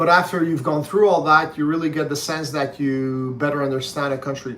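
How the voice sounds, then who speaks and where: A man speaks in a Quebec accent with fairly even intonation. His pitch is fairly high, and there is audible room echo. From Quebec, Canada. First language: French. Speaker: book reviewer's father. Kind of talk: casual chat. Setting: livestream. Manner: measured, with frequent fillers.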